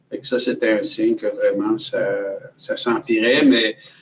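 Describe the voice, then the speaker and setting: This man speaks very slowly in a Quebec accent. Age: 60s. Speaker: cancer patient and volunteer. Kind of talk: testimony. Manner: hesitant, many fillers.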